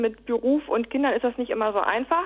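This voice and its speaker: Her pitch is high for a woman, and she talks at a fairly quick pace. The intonation stays fairly even. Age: 30s. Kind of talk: interview. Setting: phone call. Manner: halting, many fillers.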